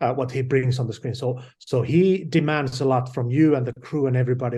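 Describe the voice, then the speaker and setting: Fairly quick and medium-pitched, a man speaks with a Finnish accent and fairly even intonation. His tone is dark, mellow and somewhat breathy. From Finland. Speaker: film director. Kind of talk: interview. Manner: halting.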